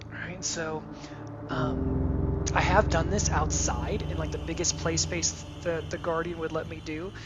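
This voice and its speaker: A man's fairly slow speech carries audible room echo and noticeable background noise. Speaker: VR game reviewer. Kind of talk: gameplay review. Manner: hesitant, filler words; whispering.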